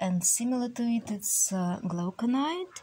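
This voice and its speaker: This woman's voice is somewhat breathy. She speaks at a very slow pace. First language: Russian. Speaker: artist reviewing oil paints. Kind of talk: tutorial. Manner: halting, many fillers.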